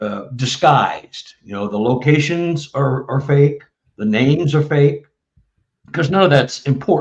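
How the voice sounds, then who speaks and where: With a Texan accent, a man speaks at a fairly slow pace in a fairly high pitch. His voice is somewhat breathy, with ordinary pitch variation. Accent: Texan American. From Texas, Dallas. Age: 70s. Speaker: author and bigfoot researcher. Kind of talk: casual interview chat. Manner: halting, many fillers.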